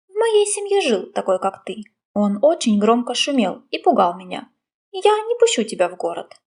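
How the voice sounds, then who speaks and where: A woman puts on a growling character voice at a high pitch, talking at a moderate pace. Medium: read story.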